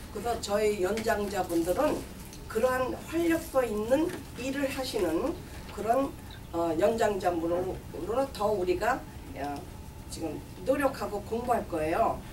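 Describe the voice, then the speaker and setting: A woman's fairly high voice with very wide pitch swings, a very slow pace and long, frequent pauses, over noticeable background noise. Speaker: community campaign manager for seniors group. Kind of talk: press conference statement. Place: meeting room. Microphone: podium.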